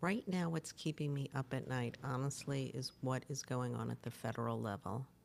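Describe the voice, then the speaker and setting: A speaker with an American accent talks at a moderate pace, with hardly any pauses and vocal fry. Pitch moves in an ordinary way, and the loudness stays very even. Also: woman, very deep, low pitch for a woman. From New York City, Brooklyn. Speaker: nonprofit executive director. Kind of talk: interview.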